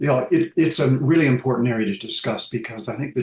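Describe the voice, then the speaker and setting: A man with a North American accent, fairly quick pace, and ordinary pitch variation. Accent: North American accent, lingering. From US West Coast. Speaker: sleep researcher, professor. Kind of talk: interview. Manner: hesitant, many fillers.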